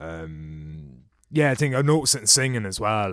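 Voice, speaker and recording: In a very clean recording with a silent background, the voice moves at a moderate pace with ordinary pitch variation. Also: man. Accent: Irish. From Ireland. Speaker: podcast guest. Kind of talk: casual chat.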